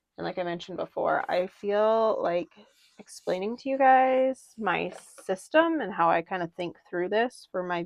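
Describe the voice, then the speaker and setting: A woman with an unremarkable speaking voice talks at a fairly slow pace. Her intonation is lively. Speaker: papercraft tutorial creator. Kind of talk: tutorial. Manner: casual, chatty. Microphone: mic issues.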